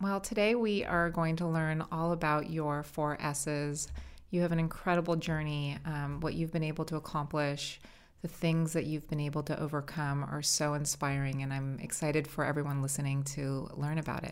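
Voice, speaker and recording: A woman speaks with an American accent and a very deep, low pitch. Her pace is moderate and her intonation fairly even. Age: 40s. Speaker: podcast host, company founder. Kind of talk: interview.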